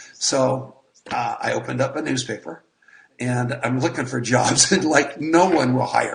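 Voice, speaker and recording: This is an unremarkable speaking voice from a man at a medium pitch. He talks at a moderate pace with ordinary pitch variation. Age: 60s. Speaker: network marketer. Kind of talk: interview.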